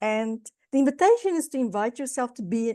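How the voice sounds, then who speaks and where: Against a quiet background, a woman with a South African accent talks at a moderate pace in a fairly high pitch with a dark, mellow tone. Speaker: guest lecturer, business consultant. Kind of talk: guest lecture. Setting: video call.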